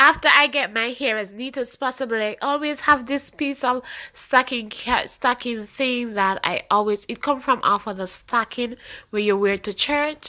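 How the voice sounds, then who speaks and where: Moderate pace and high pitch from a woman, with ordinary pitch variation. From Jamaica. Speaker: beauty vlogger. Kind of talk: tutorial.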